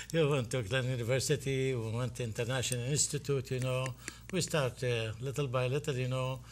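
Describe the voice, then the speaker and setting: In a very clean recording with a silent background, a man with an Iraqi accent speaks at a fairly quick pace. His medium-pitched voice is somewhat breathy, with fairly even intonation. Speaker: physician and festival board president. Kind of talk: interview.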